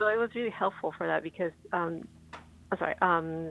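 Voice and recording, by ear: A woman speaks at a fairly quick pace with vocal fry, her fairly low pitch moving with ordinary variation.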